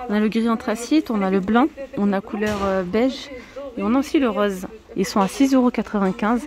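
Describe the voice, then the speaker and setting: Over light background noise, a woman talks at a fairly slow pace with ordinary pitch variation in a dry sound with no echo. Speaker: shopping vlogger. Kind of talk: casual vlog chat. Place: shop. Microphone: phone near.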